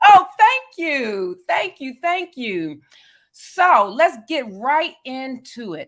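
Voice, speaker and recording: A woman's high voice in a Southern US accent, very slow, with very wide pitch swings and big swings in loudness. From US South. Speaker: interviewer. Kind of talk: interview.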